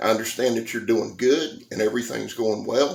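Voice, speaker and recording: A man talks with a Southern US accent. His voice is shaky. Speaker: knife reviewer, YouTuber. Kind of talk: casual vlog address.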